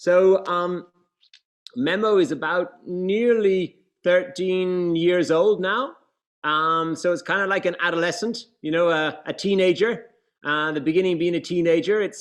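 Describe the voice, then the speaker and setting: A man with a high-pitched voice speaks at a fairly slow pace, his intonation fairly even. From Ireland. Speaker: brand co-founder and president. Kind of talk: business presentation. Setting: video call. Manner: informal, hesitant.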